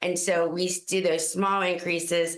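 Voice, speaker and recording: In a room with audible echo and noticeable background noise, a woman speaks fairly slowly at a fairly low pitch. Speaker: school district administrator. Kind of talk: public meeting presentation. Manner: loud.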